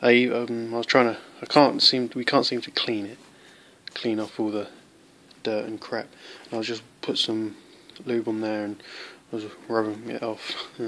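A man's monotone, flat delivery in a British accent, broken by long, frequent pauses, over light background noise. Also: moderate pace. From UK. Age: young. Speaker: knife reviewer. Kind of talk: product review. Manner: halting. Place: home room. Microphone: phone near.

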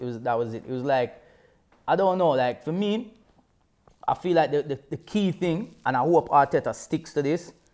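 Moderately paced, a man speaks in a London accent with ordinary pitch variation. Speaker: football show presenter. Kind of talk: casual banter. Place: studio.

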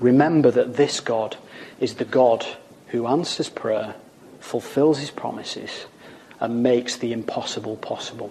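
A man talks with a Lancashire accent. Noticeable background noise can be heard. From Wigan, Lancashire, northern England. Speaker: evangelist preacher. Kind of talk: recorded sermon. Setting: pre-recorded video.

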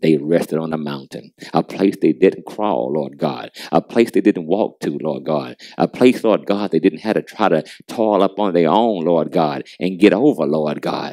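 With a very deep, low pitch, a man talks at a moderate pace in a dark, mellow tone with vocal fry and lively intonation, the sound dry and close with no echo. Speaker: prayer leader. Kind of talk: fervent prayer. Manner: fervent, rhythmic, repetitive cadence.

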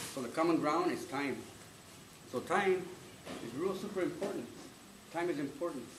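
Noticeable background noise sits behind a man speaking at a high pitch with ordinary pitch variation. He keeps a moderate pace, with long, frequent pauses. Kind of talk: ceremonial address to a live audience. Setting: live event with audience. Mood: earnest, reflective. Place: hall. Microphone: camera far.

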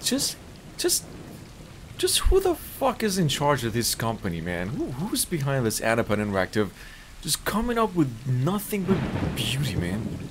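Noticeable background noise accompanies a man who leaves long, frequent pauses. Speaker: gameplay streamer. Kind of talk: casual gameplay commentary. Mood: amazed, amused.

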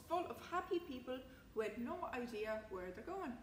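A woman speaks at a moderate pace in a high voice. Her pitch makes big swings.

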